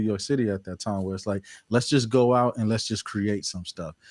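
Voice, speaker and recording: On a very clean recording with a silent background, a man speaks at a fairly low pitch with fairly even intonation, in an ordinary speaking voice. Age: 30s. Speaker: portrait photographer. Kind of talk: casual chat.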